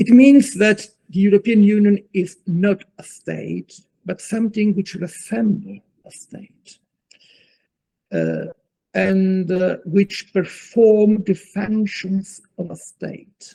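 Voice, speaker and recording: Very slowly, a man with an Italian accent speaks at a high pitch in a dark, mellow tone, with fairly even intonation, big swings in loudness and a dry, close sound with no echo. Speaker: law professor. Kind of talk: lecture. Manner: halting.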